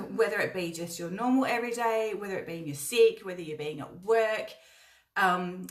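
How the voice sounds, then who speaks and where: An animated woman's voice with ordinary pitch variation and audible room echo. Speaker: spiritual channel host. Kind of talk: live stream talk and guided meditation. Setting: live stream. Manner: slow, calm guided speech.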